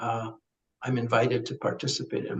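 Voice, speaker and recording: A man speaks with vocal fry. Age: 70s. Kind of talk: podcast interview.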